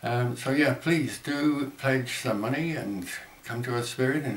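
In a room with audible echo and light background noise, a man talks at a moderate pace with ordinary pitch variation. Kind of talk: fundraising appeal to camera. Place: home room. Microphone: webcam.

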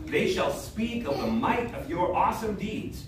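A man talks at a fairly slow pace. Noticeable background noise and audible room echo fill the recording. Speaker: pastor leading worship. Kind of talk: liturgical reading. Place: church. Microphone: camera far.

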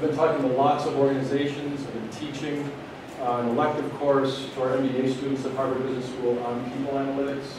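A man talks at a very fast pace in a monotone, flat intonation. Strong room echo and noticeable background noise fill the recording. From US Midwest. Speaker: business school professor. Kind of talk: lecture. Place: hall.

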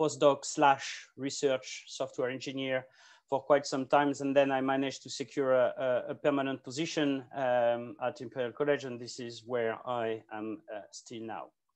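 A man's monotone, flat delivery at a moderate pace against a quiet background. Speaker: presenter. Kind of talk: conference talk. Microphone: video call.

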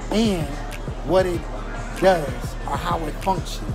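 Clear music plays in the background as the speech moves at a fairly slow pace. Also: man. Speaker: vlogger. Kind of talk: casual vlog chat. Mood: playful. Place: cafe.

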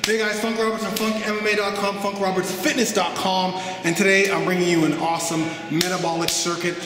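Over music in the background, a man with a high pitch speaks at a moderate pace amid audible room echo. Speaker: fitness trainer. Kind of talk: workout intro talk to camera.

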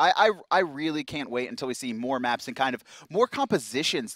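A man speaks with lively intonation. The sound is dry with no echo, and the background is quiet. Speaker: esports commentator. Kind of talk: live esports commentary, play-by-play. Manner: fast, urgent play-by-play, pointing out action as it happens. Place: studio. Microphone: headset.

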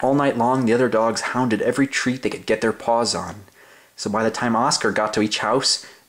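An unforced reading voice carries fairly even intonation throughout.

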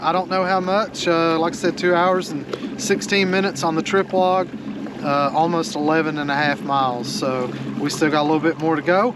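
At a moderate pace and with fairly even intonation, the speech comes through with clear background noise. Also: man, fairly high pitch for a man.

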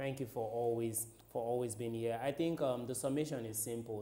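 Against noticeable background noise, a man speaks at medium pitch with fairly even intonation. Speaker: sports TV presenter. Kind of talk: studio sports news show with pundit discussion. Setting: TV studio.

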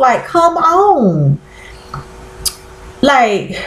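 A woman is heard with audible room echo around her voice. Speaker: vlogger. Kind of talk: casual vlog chat. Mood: exasperated, opinionated. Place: home room. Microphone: webcam.

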